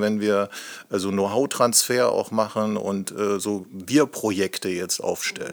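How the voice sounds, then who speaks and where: The speaker goes at a very slow pace, with ordinary pitch variation. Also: man. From Lusatia, eastern Germany (Hoyerswerda). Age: 50s. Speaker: company managing director. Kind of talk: podcast interview.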